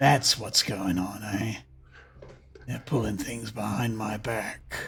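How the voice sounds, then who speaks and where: Someone uses a put-on character voice, raspy and menacing in tone. The pace is fairly slow and the intonation fairly even. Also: man, fairly low pitch for a man. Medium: actual play. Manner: menacing, folksy.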